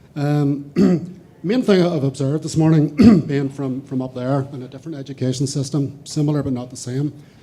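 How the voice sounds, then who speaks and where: A man's fairly high, somewhat breathy voice with a Northern Irish accent, dark and mellow in tone, fairly quick in pace and fairly even in intonation. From Northern Ireland, Larne. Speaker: audience member, coding club volunteer. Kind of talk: audience question. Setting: conference with audience.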